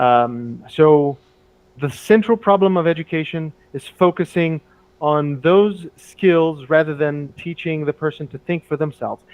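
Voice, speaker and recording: At a fairly slow pace, a man with a Portuguese accent speaks in a fairly high pitch with ordinary pitch variation. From Brazil. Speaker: English teacher. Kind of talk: casual chat. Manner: halting.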